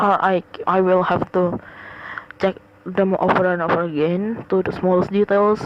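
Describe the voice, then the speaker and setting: Noticeable background noise runs under a fairly slow voice with fairly even intonation. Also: woman. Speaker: podcaster; college student. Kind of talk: casual personal podcast monologue. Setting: home recording, low quality sound. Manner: hesitant, many fillers and repetitions.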